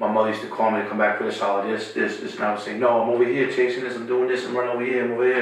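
Over noticeable background noise and audible room echo, a man at a medium pitch talks at a very fast pace in a monotone, flat intonation. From Queens, New York. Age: 50s. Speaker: music manager. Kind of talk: casual chat.

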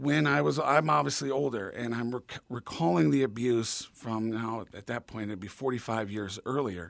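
A man with an ordinary speaking voice talks at a moderate pace and medium pitch with lively intonation, in a very clean recording with a silent background. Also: hardly any pauses. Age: 50s. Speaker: abuse survivor and advocate. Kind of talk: interview.

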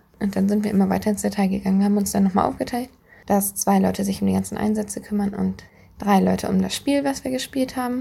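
At a very fast pace, a woman speaks with very even loudness. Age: 20s. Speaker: youth fire brigade trainer. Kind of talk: interview answers.

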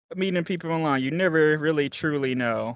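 At a moderate pace, a man with a high pitch and a Texan accent talks with ordinary pitch variation. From Texas. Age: 20s. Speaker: office worker and writer. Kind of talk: casual chat. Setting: online voice or video call.

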